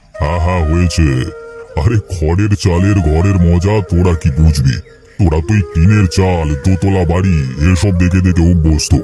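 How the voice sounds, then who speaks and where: Clear music plays behind a man doing a cartoonish character voice, very deep and low, delivered fairly slowly with fairly even intonation. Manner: fond, chatty, old-fashioned.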